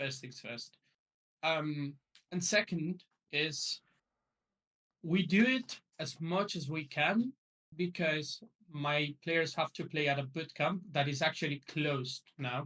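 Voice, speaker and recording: Speaking with a non-native accent, a man talks at a very slow pace with long, frequent pauses, his fairly high voice bright and sharp in tone with ordinary pitch variation. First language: not English. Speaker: esports coach. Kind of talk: podcast interview. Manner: hesitant, many fillers.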